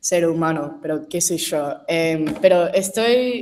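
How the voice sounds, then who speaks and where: A woman speaks in a fairly low pitch. Her pace is very slow. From New York, US. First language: English (speaking Spanish). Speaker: audience member asking question. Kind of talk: Q&A question. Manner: halting.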